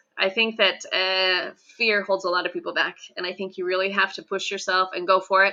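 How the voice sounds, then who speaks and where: A woman with a Western US accent speaks at medium pitch in a monotone, flat intonation. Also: fairly quick pace. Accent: American, western US. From Idaho, US. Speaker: teacher. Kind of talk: interview.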